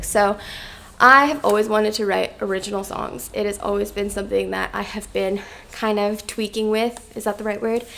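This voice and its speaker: Against noticeable background noise, a woman speaks at a medium pitch and a fairly quick pace with fairly even intonation. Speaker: YouTuber and singer-songwriter. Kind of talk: casual vlog talk to camera. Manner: chatty with many fillers (um).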